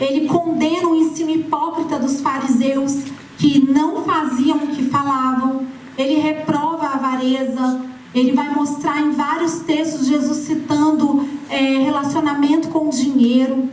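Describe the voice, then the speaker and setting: With music in the background and audible room echo, a woman speaks fairly slowly at a high pitch in a monotone, flat intonation. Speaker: preacher. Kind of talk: sermon.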